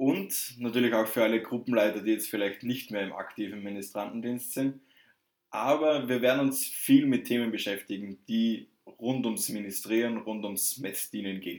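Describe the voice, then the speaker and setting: Pitched in the medium range, a man talks at a moderate speed, his pitch varying in an ordinary way. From southern Germany, Würzburg area. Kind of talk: casual chat.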